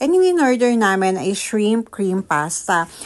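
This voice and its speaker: A woman's fairly high voice moves through very wide pitch swings at a fairly slow pace against a quiet background. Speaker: vlogger. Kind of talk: vlog voice-over. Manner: deliberately lightened, softened voice.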